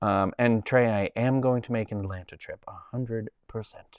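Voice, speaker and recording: A man speaks with a Boston accent at a medium pitch. His pitch varies in an ordinary way. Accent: Boston accent, natural. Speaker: live streamer. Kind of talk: casual chat. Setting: live stream.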